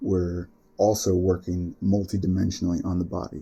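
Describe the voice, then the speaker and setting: Speaking at a moderate pace, a man uses a very deep, low pitch in a dark, mellow, somewhat breathy tone. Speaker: yoga teacher and musician. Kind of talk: spiritual talk. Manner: reflective, conversational.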